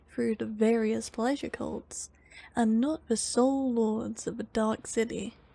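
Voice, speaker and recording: Her voice fairly high in pitch, a woman talks at a fairly slow pace with fairly even intonation, in a calm, dark, mellow tone that is somewhat breathy. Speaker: ASMR content creator reading lore aloud. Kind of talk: ASMR lore reading, sleep narration. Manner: soft, calm, relaxing.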